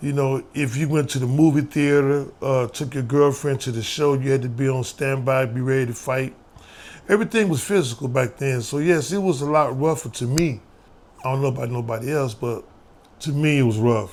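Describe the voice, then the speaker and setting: A plain, everyday voice: a man with an American accent, medium pitch, ordinary pitch variation and a fairly quick pace. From US Midwest, St. Louis, Missouri. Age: 60s. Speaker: former prisoner and youth mentor. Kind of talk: interview testimony.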